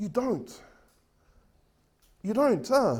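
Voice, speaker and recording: A loud voice with ordinary pitch variation. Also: man. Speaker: preacher. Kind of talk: sermon. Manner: halting.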